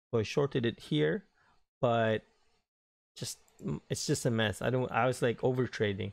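With an ordinary speaking voice, a man talks at a moderate pace and medium pitch, using ordinary pitch variation over a quiet background. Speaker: day trader. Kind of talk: trading recap voiceover.

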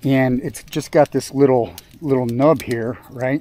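At a fairly slow pace, a man with medium pitch and a dark, mellow tone speaks with ordinary pitch variation, the sound dry with no echo. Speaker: outdoor work vlogger. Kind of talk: casual vlog narration. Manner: halting, many fillers. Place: forest. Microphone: phone near.

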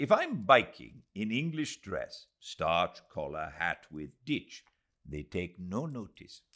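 On a very clean recording with a silent background, a man puts on a character voice that is low in pitch, fairly bright in tone and slow, with very wide pitch swings.

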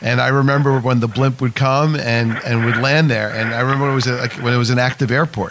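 A man with a New York accent speaks at medium pitch and a fairly quick pace, his intonation monotone and flat and his loudness very even, over noticeable background noise. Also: hardly any pauses. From Whitestone, Queens, New York. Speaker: radio host. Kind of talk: radio interview.

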